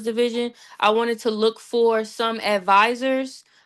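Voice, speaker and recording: Against a quiet background, a woman with an American accent speaks in a high pitch with a bright, sharp tone. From Annapolis, Maryland. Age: 20s. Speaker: youth division organizer. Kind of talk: community meeting discussion.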